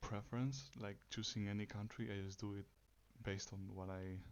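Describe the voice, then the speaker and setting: A soft-spoken man talks with a fairly low pitch. His intonation stays fairly even. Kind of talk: ASMR soft-spoken facts reading.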